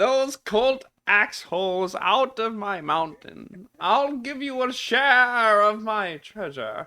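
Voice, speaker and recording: Someone uses a put-on character voice at a fairly high pitch. The pace is very slow. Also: hardly any pauses. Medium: actual play. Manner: coy, wheedling.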